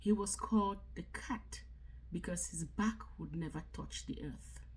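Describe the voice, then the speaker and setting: A woman talks at a very slow pace. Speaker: book reader, content creator. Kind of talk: reading aloud.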